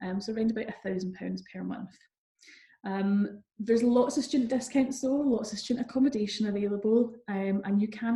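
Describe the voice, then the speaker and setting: A woman's medium-pitched, somewhat breathy voice with a Scottish accent, dark and mellow in tone, at a fairly quick pace with fairly even intonation. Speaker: university recruitment manager. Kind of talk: online seminar presentation; answering audience questions. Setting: online seminar.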